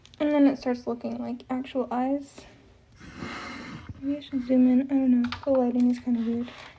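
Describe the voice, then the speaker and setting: A woman speaks at a moderate pace in a high, flat, monotone voice, with noticeable background noise behind her. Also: long, frequent pauses. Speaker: artist. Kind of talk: livestream tutorial. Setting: livestream. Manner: casual, hesitant with fillers.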